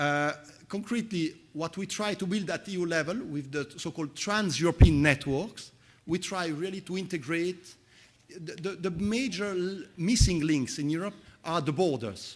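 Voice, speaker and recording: This man has a high pitch and ordinary pitch variation. He talks at a moderate pace against a quiet background. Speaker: conference speaker, EU official. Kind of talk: conference Q&A answer. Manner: halting, repeats words.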